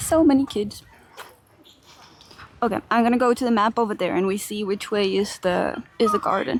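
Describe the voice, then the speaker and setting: A soft-spoken woman with a fairly high pitch talks at a moderate pace with ordinary pitch variation and long, frequent pauses, over noticeable background noise. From Finland. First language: Finnish. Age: 20s. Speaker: streamer. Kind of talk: live stream chat. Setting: outdoors. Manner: murmuring.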